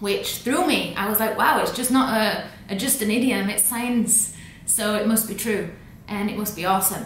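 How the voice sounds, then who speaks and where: Her tone is upbeat and her pitch fairly high, with ordinary variation as this woman talks at a moderate pace. Noticeable background noise sits behind her. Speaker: language educator. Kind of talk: casual talk to camera. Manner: upbeat, casual.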